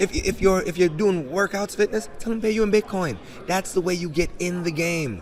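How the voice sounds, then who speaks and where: Animated, high-pitched speech from a man with an American accent, at a moderate pace with ordinary pitch variation. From Jamaica, raised South Bronx, New York. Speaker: crypto entrepreneur. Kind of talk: interview.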